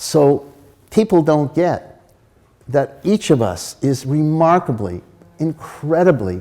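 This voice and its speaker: A man with an American accent talks at a very slow pace, leaving long, frequent pauses. His fairly high voice has a dark, mellow tone and very wide pitch swings. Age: 80s+. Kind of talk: lecture. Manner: animated.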